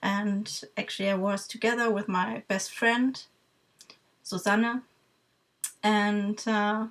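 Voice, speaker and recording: A woman with a German accent talks very slowly in a flat, monotone way. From Germany. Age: 30s. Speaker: vlogger, music fan. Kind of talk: casual talk to camera. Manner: halting, many fillers.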